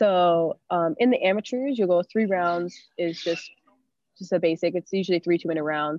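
A woman with an American accent talks at a moderate pace in a plain, everyday voice. Her pitch is fairly low, with ordinary pitch variation. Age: 20s. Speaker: Muay Thai fighter. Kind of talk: casual interview.

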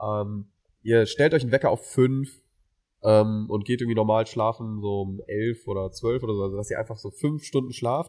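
Over a very clean recording with a silent background, a man speaks in a dark, mellow tone at medium pitch with fairly even intonation. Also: moderate pace. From Mainz, Germany. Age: 20s. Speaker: student podcast co-host. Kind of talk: casual chat.

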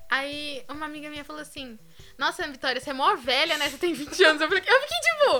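Raising and projecting her high-pitched voice, a woman speaks at a very fast pace with big swings in loudness. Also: ordinary pitch variation. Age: 20s. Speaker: podcast co-host. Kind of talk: casual chat.

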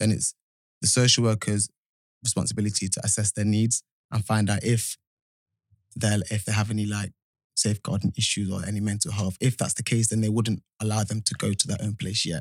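A man with a slight Midlands accent speaks in a fairly low monotone with flat intonation at a fairly quick pace. He leaves long, frequent pauses, and the sound is dry and close with no echo. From English Midlands, Nottingham. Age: 20s. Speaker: youth homelessness support worker. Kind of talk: podcast interview, personal testimony. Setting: studio.

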